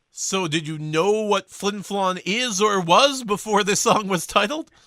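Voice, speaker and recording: A man's raised, projected voice, high-pitched with a bright, sharp tone, at a fairly slow pace with ordinary pitch variation, in a Canadian accent. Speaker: radio host. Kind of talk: radio interview.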